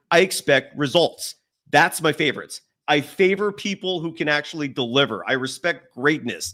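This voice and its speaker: A man's animated, bright and sharp voice, fairly high in pitch, at a moderate pace with ordinary pitch variation. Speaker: sports show host. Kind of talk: heated debate.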